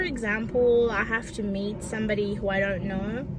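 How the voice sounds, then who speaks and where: Audible room echo and noticeable background noise fill the recording. Through them a woman talks fairly slowly. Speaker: vlogger. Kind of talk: personal vlog talk. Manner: halting, with repetitions and fillers.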